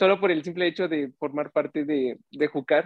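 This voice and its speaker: Speaking in a plain, everyday voice, a man keeps a moderate pace, and his pitch varies in an ordinary way. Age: 20s. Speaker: youth ministry volunteer. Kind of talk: casual chat.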